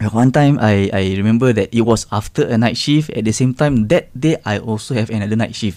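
In a very clean recording with a silent background, a man with a Malaysian accent and a dark, mellow tone speaks at a fairly quick pace with ordinary pitch variation. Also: medium pitch for a man. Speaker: podcast co-host. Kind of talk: casual chat. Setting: studio.

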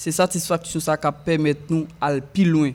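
With a Haitian accent, a man speaks at a fairly slow pace. His voice is fairly high for a man, and his intonation stays fairly even. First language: Haitian Creole (speaking French). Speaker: musician. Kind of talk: casual chat.

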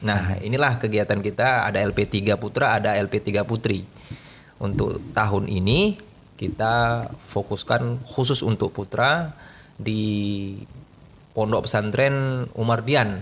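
At a very slow pace, a man speaks with very even loudness, fairly low pitch and fairly even intonation. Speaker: scout community leader and pesantren teacher. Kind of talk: casual interview. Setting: studio.

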